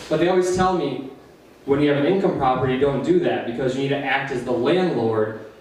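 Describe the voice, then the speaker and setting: Over noticeable background noise and audible room echo, a man with a fairly high pitch talks at a fairly quick pace with ordinary pitch variation. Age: 20s. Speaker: amateur comedian. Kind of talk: stand-up. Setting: stage with audience. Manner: fast.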